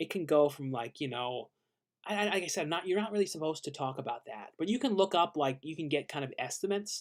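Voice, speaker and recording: A fairly quick pace with lively intonation. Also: man. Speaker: YouTuber answering viewer questions. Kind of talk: live stream Q&A. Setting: late-night live stream. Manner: fast; casual, halting with many fillers.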